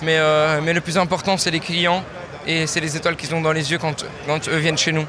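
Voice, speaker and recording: Noticeable background noise behind a man speaking high. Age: 20s. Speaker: chef. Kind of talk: interview.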